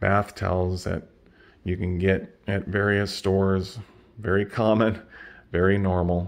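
The delivery is monotone with flat intonation, moving at a fairly slow pace. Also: man. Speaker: channel host. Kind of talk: casual vlog chat. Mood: relaxed, lightly amused. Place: home room. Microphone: phone near.

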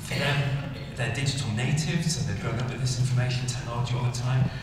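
A fairly high-pitched man in strong room echo, with noticeable background noise. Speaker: conference speaker. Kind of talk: lecture. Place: stage.

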